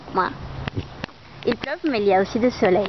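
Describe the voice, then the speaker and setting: Someone with a Brazilian accent speaks at a fairly slow pace over noticeable background noise. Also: woman. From Brazil, Fortaleza. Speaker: university student. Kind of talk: video letter to a friend. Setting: walking around home and outdoors. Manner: halting.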